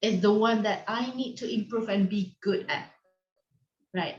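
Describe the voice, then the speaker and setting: A woman talks with a non-native accent. Her pitch is fairly high. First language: not English. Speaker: online teacher conference facilitator. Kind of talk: video call discussion.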